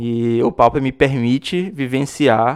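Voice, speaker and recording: Against a quiet background, a man with an unremarkable speaking voice talks at a fairly slow pace in a medium pitch. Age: 30s. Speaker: podcast host, card game player. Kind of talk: interview, casual chat.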